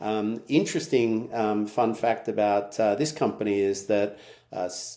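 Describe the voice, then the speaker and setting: A man's fairly low voice with an American accent, ordinary pitch variation and a moderate pace. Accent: Australian with slight US twang. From Australia. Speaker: tech company CEO. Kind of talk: podcast interview. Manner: hesitant, many fillers.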